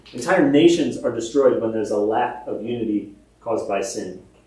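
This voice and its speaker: Audible room echo surrounds a man speaking at a fairly slow pace. His intonation is lively. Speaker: pastor. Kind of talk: sermon. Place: church. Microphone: camera far.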